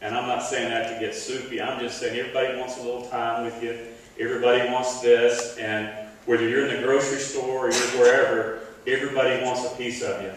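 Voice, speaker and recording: Amid strong room echo and light background noise, a man talks fairly quickly in a monotone, flat delivery. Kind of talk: speech. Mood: grateful, slightly emotional. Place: stage.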